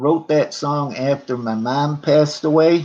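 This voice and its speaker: Talking at a very slow pace, a man uses a fairly high pitch with ordinary pitch variation. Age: 60s. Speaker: livestreamer and amateur songwriter. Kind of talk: casual livestream chat with viewers. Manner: halting.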